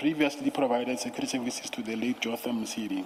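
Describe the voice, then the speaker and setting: A man's speech comes through noticeable background noise. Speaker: witness at commission of inquiry. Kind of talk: testimony. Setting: commission hearing room. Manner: soft-spoken; reading statement aloud, halting. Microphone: too quiet, far from the mic.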